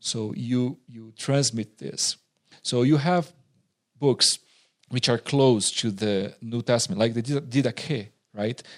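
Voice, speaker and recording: Against a quiet background, a man with a Portuguese accent speaks at a very slow pace and a medium pitch, with ordinary pitch variation. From southern Brazil. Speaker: pastor and seminary teacher. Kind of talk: interview.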